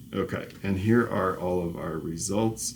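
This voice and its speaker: Audible room echo surrounds a man whose very deep, low voice moves at a fairly slow pace. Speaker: professor. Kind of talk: lecture. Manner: halting.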